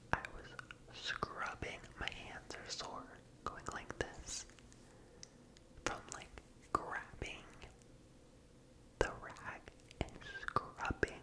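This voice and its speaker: A man whispering in an American accent at a very slow pace, with long, frequent pauses. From United States. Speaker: ASMR content creator. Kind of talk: asmr ramble, casual talk to camera. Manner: slow, soft-spoken, whispery. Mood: playful, animated faces.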